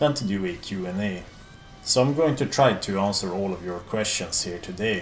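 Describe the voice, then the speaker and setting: Music in the background, audible room echo, and a man with a Swedish accent at a moderate pace with ordinary pitch variation. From Sweden. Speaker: metal YouTuber. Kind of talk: Q&A video monologue.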